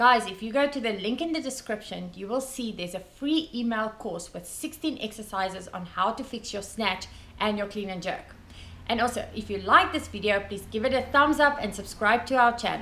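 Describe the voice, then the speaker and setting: The pace is moderate, with ordinary pitch variation. The loudness swings widely. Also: woman. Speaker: weightlifting coach. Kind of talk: tutorial. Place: garage. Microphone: camera far.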